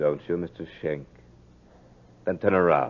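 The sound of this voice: A man's put-on character voice, extremely low in pitch, with lively intonation, vocal fry and a slightly husky edge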